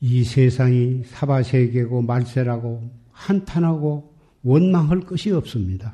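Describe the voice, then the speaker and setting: Very slowly, a man speaks in a somewhat breathy, dark, mellow voice at medium pitch with ordinary pitch variation. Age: 80s. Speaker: Buddhist monk. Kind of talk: sermon.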